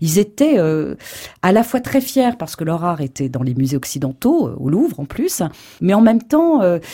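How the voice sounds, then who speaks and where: The background is silent and the recording very clean. Speech proceeds at a moderate pace. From Morocco, Casablanca. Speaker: art historian and writer. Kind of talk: radio interview.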